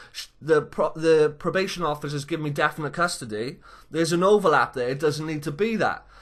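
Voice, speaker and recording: A man speaks very fast in an animated tone, his pitch fairly high with ordinary variation. The background is quiet. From Wales. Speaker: vlogger telling his own story. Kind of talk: casual first-person storytelling vlog. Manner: animated, informal.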